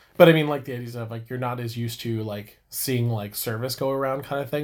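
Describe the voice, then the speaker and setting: A plain, everyday voice from a man at a medium pitch, fairly quick pace, and ordinary pitch variation, on a very clean recording with a silent background. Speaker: podcast co-host. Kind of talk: casual chat.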